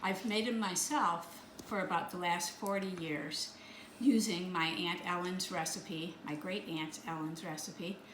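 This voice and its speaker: Speech at a fairly slow pace with ordinary pitch variation comes through noticeable background noise and audible room echo. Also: woman, fairly low pitch for a woman. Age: 70s. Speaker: home baker. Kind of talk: tutorial. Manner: casual, with hesitations.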